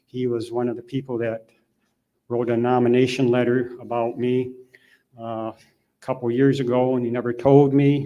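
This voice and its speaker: A man speaks in a dark, mellow tone with monotone, flat intonation. He leaves long, frequent pauses. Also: medium pitch for a man, moderate pace. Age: 60s. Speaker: hall of fame honoree, parish helper. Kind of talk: acceptance speech. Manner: halting.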